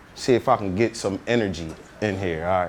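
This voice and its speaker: A man talks loudly with an American accent. His pace is moderate. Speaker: motivational speaker. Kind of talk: motivational talk. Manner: energetic.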